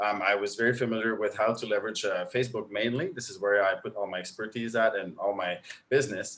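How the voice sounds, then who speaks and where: A man with a French Canadian accent, at a very fast pace with ordinary pitch variation. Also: medium pitch for a man. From Quebec. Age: 30s. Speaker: online marketing coach. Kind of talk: interview. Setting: live stream.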